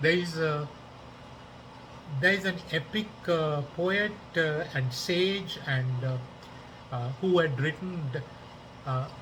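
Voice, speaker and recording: In audible room echo, a man with a Tamil accent speaks very slowly at a fairly high pitch with ordinary pitch variation and long, frequent pauses. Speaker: podcaster, political commentator. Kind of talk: casual monologue. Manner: halting, many fillers.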